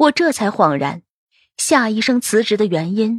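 With lively intonation, this is plain reading aloud. Behind it, the background is quiet.

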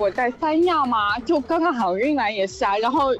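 A woman speaks at a high pitch and a fairly quick pace. Her intonation is lively. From Zhejiang, Zhoushan. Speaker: caller. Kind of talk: casual chat.

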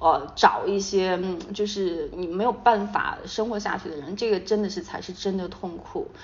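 A woman speaks at a medium pitch and moderate pace with fairly even intonation. Her loudness swings widely, and the room echo is audible. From Sichuan, China. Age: 30s. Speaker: marketing company founder. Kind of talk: casual interview chat.

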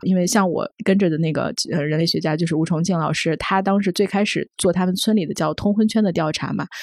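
Using a normal speaking voice, a woman talks at a fairly quick pace with fairly low pitch and ordinary pitch variation. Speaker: magazine journalist. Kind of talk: casual discussion.

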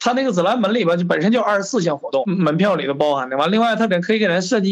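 Delivered at a very fast pace, the speech has ordinary pitch variation. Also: man. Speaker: class reunion organizer. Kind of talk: casual chat.

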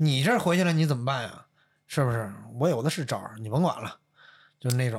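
A man talks at a fairly quick pace with lively intonation and a somewhat breathy voice. He leaves long, frequent pauses. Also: medium pitch for a man. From Northeast China. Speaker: podcast guest telling personal stories. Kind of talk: casual chat.

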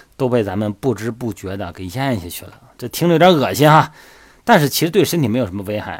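Talking at a very fast pace, a man with a medium-pitched voice uses lively intonation on a very clean recording with a silent background. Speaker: fitness coach podcast host. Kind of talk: casual explanatory monologue. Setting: solo audio recording. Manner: chatty, many filler particles.

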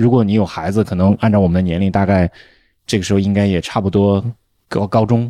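Very fast and monotone, a man speaks with flat intonation and a dark, mellow tone at a fairly low pitch. The recording is very clean, with a silent background. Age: 40s. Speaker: podcast host, veteran journalist. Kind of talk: casual chat.

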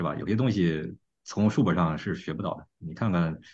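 At a moderate pace, a man speaks with vocal fry. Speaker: podcast host. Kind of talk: casual chat.

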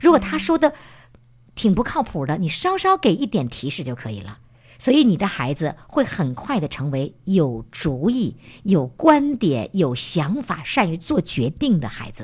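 A woman speaks at a fairly slow pace in a fairly low pitch, somewhat breathy and animated in tone. Her voice shows very wide pitch swings and big swings in loudness on a very clean recording with a silent background. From Heilongjiang, northeast China. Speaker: parenting program host. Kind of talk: interview.

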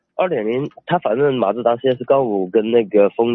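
With a southern Chinese accent, a man speaks at a moderate pace and ordinary pitch variation. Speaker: caller asking car-buying advice. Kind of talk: call-in conversation. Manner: halting, many fillers.

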